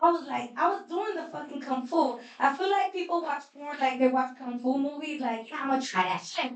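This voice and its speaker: A woman with a New York accent speaks at a high pitch and a moderate pace, with hardly any pauses. Her intonation is lively and her tone animated. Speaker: stand-up comedian. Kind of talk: stand-up.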